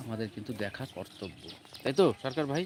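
A man with a plain, everyday voice speaks at a medium pitch, and the sound is dry and close with no echo. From West Bengal, Nadia district (Chakdah). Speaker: YouTube vlogger. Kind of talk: casual vlog narration. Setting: outdoors at a temple grounds.

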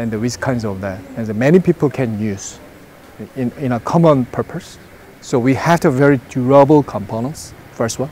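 At a moderate pace, a man speaks at medium pitch with a slightly mellow tone and ordinary pitch variation.

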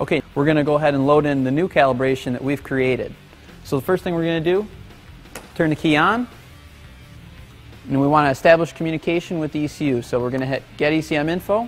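Faint music plays in the background. A man talks at a very fast pace with ordinary pitch variation. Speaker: presenter. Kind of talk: tutorial. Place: workshop.

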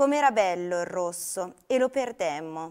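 Over a quiet background, a woman talks at a very slow pace with very wide pitch swings. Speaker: poetry reader. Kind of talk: poetry reading aloud, a lyrical elegiac poem addressed to a cloud. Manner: slow, solemn, contemplative, with long pauses and a wistful tone. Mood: calm, melancholic. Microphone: lapel.

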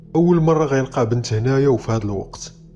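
With music in the background, a man speaks moderately paced. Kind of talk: horror story narration.

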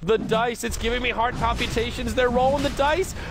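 A man speaks in an animated tone at an extremely high pitch. His pitch varies in an ordinary way. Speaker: esports commentator. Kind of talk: live esports match commentary. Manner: fast, animated play-by-play, rising excitement at kills.

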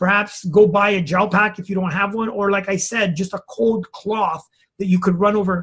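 A high-pitched man's voice at a moderate pace. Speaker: health practitioner and educator. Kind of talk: interview. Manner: talkative.

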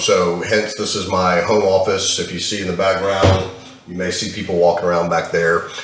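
A man talks at a fairly quick pace with audible room echo and light background noise. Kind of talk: casual vlog chat. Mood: frustrated, animated. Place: home room. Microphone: webcam.

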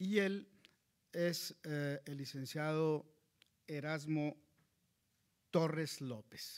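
Speaking at a very slow pace with long, frequent pauses, a man with a fairly high pitch is heard over a quiet background. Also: ordinary pitch variation. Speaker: local chronicler. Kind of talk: formal introduction. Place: hall. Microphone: podium.

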